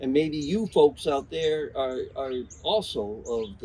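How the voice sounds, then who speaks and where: A somewhat breathy man with lively intonation. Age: 60s. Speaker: podcast host, artist and musician. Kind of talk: interview. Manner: halting, many fillers.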